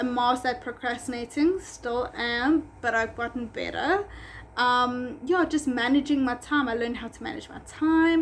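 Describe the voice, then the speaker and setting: A woman with a South African accent talks at a moderate pace in a high voice, with ordinary pitch variation and big swings in loudness. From South Africa, Durban. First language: Afrikaans. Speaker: pet groomer and business owner. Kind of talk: vlog storytime. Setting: at home. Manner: casual, many fillers.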